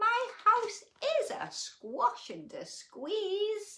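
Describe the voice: A woman's put-on character voice at an extremely high pitch, with very wide pitch swings, a bright, sharp tone and a very slow pace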